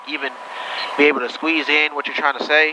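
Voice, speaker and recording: A man with fairly high pitch talks at a very fast pace with ordinary pitch variation over noticeable background noise. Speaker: private pilot vlogger. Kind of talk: casual vlog commentary with radio calls. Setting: small airplane cockpit.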